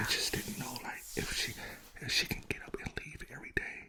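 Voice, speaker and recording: A man whispers at a moderate pace amid noticeable background noise. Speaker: podcast host, half of a couple. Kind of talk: casual podcast conversation with his partner.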